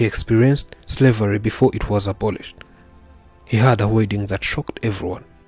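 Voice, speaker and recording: Fairly even intonation at a fairly quick pace, with music in the background. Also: man, fairly low pitch for a man. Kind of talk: documentary story narration.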